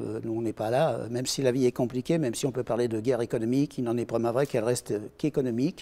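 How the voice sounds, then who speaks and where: With fairly even intonation, the man's tone comes across dark and mellow. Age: 60s. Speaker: retired pilot and aircraft engineer. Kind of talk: interview answers. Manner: hesitant, many fillers.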